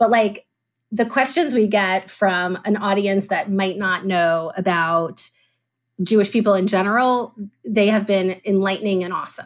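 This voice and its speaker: On a very clean recording with a silent background, a woman with an American accent speaks at a fairly slow pace in a plain, everyday voice with ordinary pitch variation. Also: medium pitch for a woman. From US South, Atlanta, Georgia. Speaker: adoption foundation founder. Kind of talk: interview.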